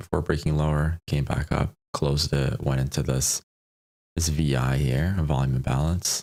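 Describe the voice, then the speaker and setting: Soft-spoken and very deep in pitch, a man talks at a moderate pace with fairly even intonation and very even loudness, in a dry, close sound with no echo. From Poland. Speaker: day trader streaming live. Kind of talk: live trading commentary. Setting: home live stream.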